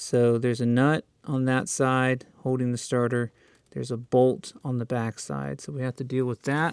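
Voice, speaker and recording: A plain, everyday voice speaks at a moderate pace with fairly even intonation, in a dry, close sound with no echo. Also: man, medium pitch for a man. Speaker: car repair hobbyist. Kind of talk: DIY car repair tutorial talk to camera.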